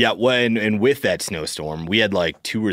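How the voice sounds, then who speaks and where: Over a silent background in a very clean recording, a man's pitch varies in an ordinary way. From South Dakota. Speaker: hunting podcast co-host. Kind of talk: casual chat.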